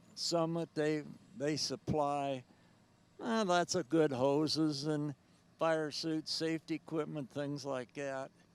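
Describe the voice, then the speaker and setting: A man's fairly high voice at a very slow pace, with fairly even intonation, long, frequent pauses, and a dry, close sound with no echo. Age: 80s+. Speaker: tractor pulling champion. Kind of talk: interview. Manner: halting.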